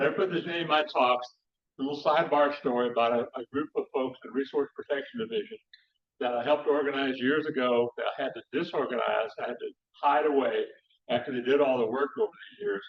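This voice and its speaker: Speaking in a West Texas accent, a man talks at a very fast pace. His voice sits fairly high and shows ordinary pitch variation. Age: 70s. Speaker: conservation scientist and speaker. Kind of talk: public lecture. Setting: talk to a live audience. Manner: informal, many fillers and restarts.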